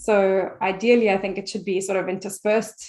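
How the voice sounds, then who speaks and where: A woman's medium-pitched voice with a non-native accent at a fairly quick pace. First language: not English. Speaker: French teacher. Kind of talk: interview conversation. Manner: halting, many repetitions.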